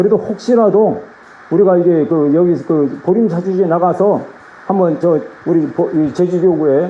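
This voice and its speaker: Over noticeable background noise, a high-pitched man talks at a fairly quick pace with ordinary pitch variation. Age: 60s. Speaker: Buddhist monk, head of regional temple office. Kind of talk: address at a meeting of monks. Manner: halting, with false starts.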